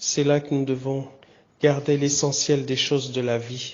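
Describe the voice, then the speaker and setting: A man speaks slowly-ish at a fairly high pitch, his intonation monotone and flat. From DR Congo, Kinshasa. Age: 50s. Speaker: pastor. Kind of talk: personal testimony message. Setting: hospital room, audio recording.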